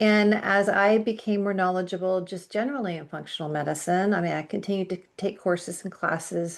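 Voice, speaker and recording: An unremarkable speaking voice from a woman, medium in pitch and fairly even in intonation. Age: 60s. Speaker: functional medicine nutritionist. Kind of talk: podcast interview. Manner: conversational.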